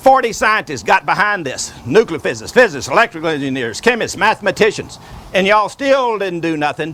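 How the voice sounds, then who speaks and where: With a Southern US accent, a man talks fast-ish, at a fairly quick pace, his high pitch making very wide swings. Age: 70s. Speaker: inventor. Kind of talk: video address.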